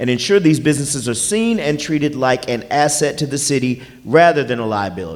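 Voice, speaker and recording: There is audible room echo. A man speaks with lively intonation. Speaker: forum moderator. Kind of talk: moderating a public forum. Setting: stage with audience. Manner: loud.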